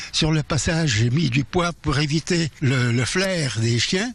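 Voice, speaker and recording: In a somewhat breathy voice, someone speaks at a fairly slow pace with lively intonation. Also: man. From Alsace. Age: 80s+. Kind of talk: interview answer.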